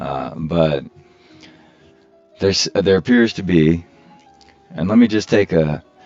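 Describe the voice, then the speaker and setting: A man with a very deep, low voice talks at a fairly slow pace, using ordinary pitch variation and long, frequent pauses. Music plays in the background. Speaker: gaming video creator. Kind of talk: unedited gameplay commentary. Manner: candid, casual.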